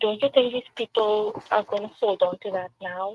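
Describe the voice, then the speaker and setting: A woman's fairly high-pitched voice in a Trinidadian accent, with fairly even intonation. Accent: Trinidadian accent, noticeable throughout. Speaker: local political candidate. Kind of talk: interview on a community talk show. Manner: emphatic.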